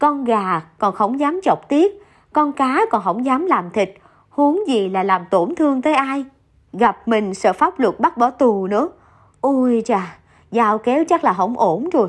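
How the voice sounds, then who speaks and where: Against a quiet background, a woman speaks at a fairly slow pace and a high pitch. Her pitch swings very widely while her loudness stays very even. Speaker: radio narrator reading listener stories. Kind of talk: reading aloud.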